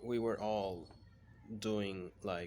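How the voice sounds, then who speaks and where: Fairly low in pitch with fairly even intonation, a man speaks in a Spanish accent. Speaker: freelance copywriter. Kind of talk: casual personal vlog. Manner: halting.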